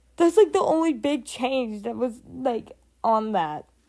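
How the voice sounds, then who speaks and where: Speaking at a very slow pace, a woman uses a fairly high pitch with very wide pitch swings. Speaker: hobby animator and artist. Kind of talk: casual talk to camera. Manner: hesitant, with pauses and stutters.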